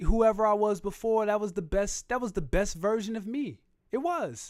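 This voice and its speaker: Here a man talks at a fairly slow pace. His pitch variation is ordinary. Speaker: rapper and livestream host. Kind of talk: casual livestream chat reading comments. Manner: laid-back delivery.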